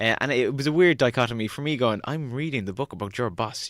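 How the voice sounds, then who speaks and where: A man with a Cork accent, very fast and lively in intonation, on a very clean recording with a silent background. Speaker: social media strategist. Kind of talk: podcast interview.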